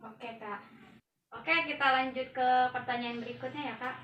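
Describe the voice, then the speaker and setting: The delivery comes at a moderate pace with fairly even intonation. Room echo is audible. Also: woman. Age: young. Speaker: university student interviewer. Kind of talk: student interview assignment.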